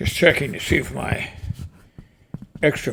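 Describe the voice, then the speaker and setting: A man's voice against noticeable background noise. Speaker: cowboy poetry reciter. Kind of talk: casual talk to camera.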